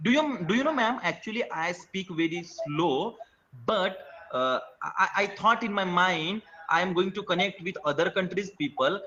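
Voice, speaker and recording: Amid noticeable background noise, a man with a high pitch talks in a raised, projected voice with lively intonation at a moderate pace. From India. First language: an Indian language. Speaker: teacher, language learner. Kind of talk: casual chat. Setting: video call. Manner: halting.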